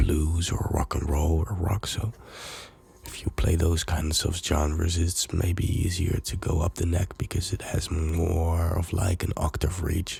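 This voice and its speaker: A soft-spoken man talks fairly slowly at a very deep, low pitch with monotone, flat intonation. Noticeable background noise runs underneath. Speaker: music producer and DJ. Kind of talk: ASMR talk to camera.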